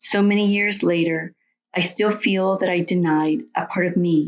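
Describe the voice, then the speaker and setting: With a Latin American accent, a woman speaks at a moderate pace in a fairly low voice. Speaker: storyteller. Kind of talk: personal essay reading.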